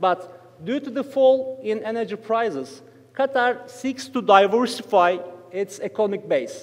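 The speaker talks at a fairly slow pace with a Turkish accent. Pitch variation is ordinary. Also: man, extremely high pitch for a man. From Turkey. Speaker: economic researcher; conference panelist. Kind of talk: conference paper presentation. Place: hall. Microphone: podium.

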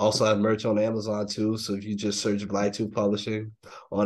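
A man with an American accent, fairly low in pitch, at a fairly quick pace, with monotone, flat intonation. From US South. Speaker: comic book publisher. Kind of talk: casual interview. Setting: video call. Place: home room. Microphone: video call.

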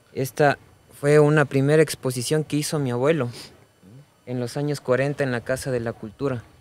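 The sound is dry with no echo. A man talks at a moderate pace with fairly even intonation. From Ecuador. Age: 30s. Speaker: mask and effigy artisan; guest. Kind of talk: casual conversation. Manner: halting, repeats words. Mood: calm, warm. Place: studio. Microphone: studio mic.

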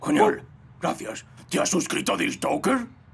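A man's put-on character voice, extremely high in pitch, with very wide pitch swings. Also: moderate pace. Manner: upbeat, promotional.

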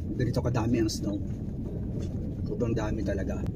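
Loud background noise sits behind a fairly quick voice with a dry sound and no echo. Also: man. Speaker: vlogger filming family. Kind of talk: casual vlog chat. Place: car. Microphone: phone near.

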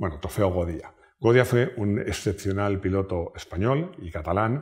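A somewhat breathy man speaks over a quiet background. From Spain. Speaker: YouTube car channel host. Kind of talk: casual personal talk to camera. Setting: at home. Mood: warm, proud, nostalgic. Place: home room. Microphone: lapel.

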